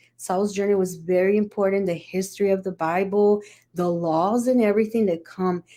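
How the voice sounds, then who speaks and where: Her tone is dark and mellow, set at a medium pitch for a woman. She keeps a moderate pace and fairly even intonation. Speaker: spiritist study group presenter. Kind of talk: study presentation.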